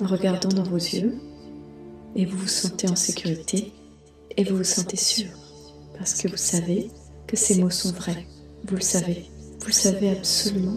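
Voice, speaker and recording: A woman's medium-pitched, monotone, flat voice at a fairly slow pace with long, frequent pauses, music in the background. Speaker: meditation guide. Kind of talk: guided meditation. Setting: soft background music. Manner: whispered, calm, soft.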